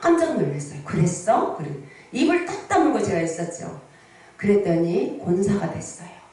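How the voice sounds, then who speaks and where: An animated tone at a moderate pace with ordinary pitch variation, amid noticeable background noise and audible room echo. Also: woman. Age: 60s. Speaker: pastor. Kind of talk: sermon. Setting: prayer retreat revival meeting with congregation.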